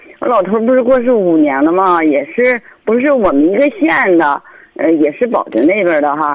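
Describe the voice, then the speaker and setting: Very wide pitch swings at a moderate pace. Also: woman, medium pitch for a woman. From Hebei, Baoding. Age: 50s. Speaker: caller seeking advice. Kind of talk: radio call-in consultation. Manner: halting, many fillers.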